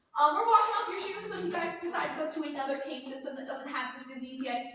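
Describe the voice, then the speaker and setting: In a raised, projected voice, a woman speaks at a high pitch with very wide pitch swings, and audible room echo. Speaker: cave tour guide. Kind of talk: guided tour talk to a group. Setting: inside a cave with a tour group. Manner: loud.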